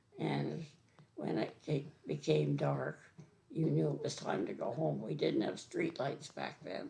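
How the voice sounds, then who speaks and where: There is noticeable background noise. Through it, a woman speaks at a fairly slow pace. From eastern Ontario, Canada. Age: 80s+. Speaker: senior resident sharing childhood memories. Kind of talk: oral history interview. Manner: halting.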